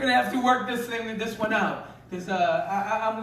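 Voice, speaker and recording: Amid noticeable background noise and audible room echo, a man talks at a fairly quick pace with a high pitch and lively intonation. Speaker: pastor. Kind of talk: sermon.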